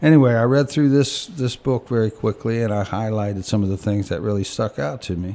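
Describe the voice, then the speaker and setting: A man's medium-pitched, dark, mellow voice with an American accent, fairly quick with hardly any pauses and ordinary pitch variation. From US (Virginia), military family. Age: 50s. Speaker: recovering alcoholic, program graduate. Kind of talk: testimony. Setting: studio.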